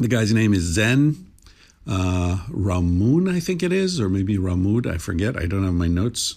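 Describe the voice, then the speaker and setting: A man speaks in a relaxed tone at a moderate pace, his pitch very deep and low. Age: 60s. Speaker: podcast host. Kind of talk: casual conversation. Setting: remote call. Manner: relaxed, uses many fillers.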